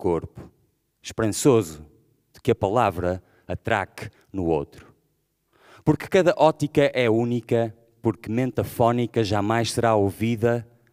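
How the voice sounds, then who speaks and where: Over a quiet background, a man speaks at a fairly slow pace and medium pitch, with lively intonation, big swings in loudness and long, frequent pauses. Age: 40s. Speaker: rapper and poet; poet. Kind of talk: spoken-word manifesto. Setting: stage with audience. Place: stage. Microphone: podium.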